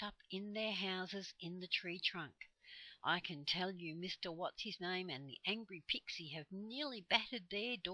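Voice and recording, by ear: Someone is reading aloud in a natural voice. Pitch variation is ordinary.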